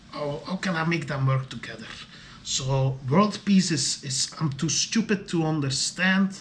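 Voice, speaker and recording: A man with a high voice and lively intonation speaks at a moderate pace against noticeable background noise. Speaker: video diarist. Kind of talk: solo video diary monologue. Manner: halting, many fillers and repetitions.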